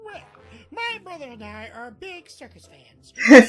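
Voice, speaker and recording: A cartoonish character voice with very wide pitch swings, big swings in loudness and a moderate pace. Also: woman, extremely high pitch for a woman. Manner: prim, old-fashioned polite.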